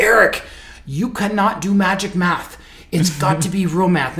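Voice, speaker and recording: A man's put-on character voice, stern in tone and high in pitch, with ordinary pitch variation, a moderate pace and light background noise. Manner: stern, scolding.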